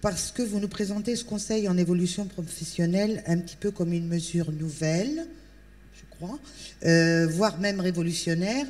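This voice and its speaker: A woman has an ordinary speaking voice, medium in pitch with ordinary pitch variation. Her loudness swings widely. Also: moderate pace. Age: 60s. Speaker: audience member, job seeker. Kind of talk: public question. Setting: tent with audience.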